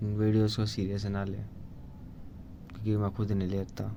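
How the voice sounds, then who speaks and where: There is audible room echo on this recording. A man speaks at a fairly low pitch. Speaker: vlogger. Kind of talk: casual monologue. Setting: solo video to camera. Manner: halting.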